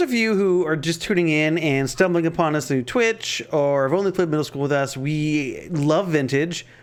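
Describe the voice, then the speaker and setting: A loud, high-pitched male voice at a moderate pace with ordinary pitch variation. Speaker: game commentator. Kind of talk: live commentary.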